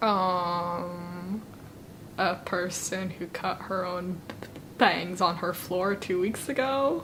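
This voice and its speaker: Audible room echo surrounds a woman with an American accent who speaks very slowly at a medium pitch with fairly even intonation. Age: 20s. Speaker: law student. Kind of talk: interview. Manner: halting.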